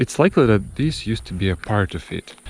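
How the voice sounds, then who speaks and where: There is noticeable background noise as a man with a fairly low voice speaks at a moderate pace with ordinary pitch variation. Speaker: travel vlogger. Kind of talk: casual travel vlog.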